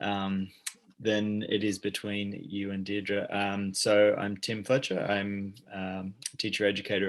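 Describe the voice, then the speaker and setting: A man talks at a moderate pace in a fairly low pitch. His intonation is monotone and flat. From Australia. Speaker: teacher educator. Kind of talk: panel discussion.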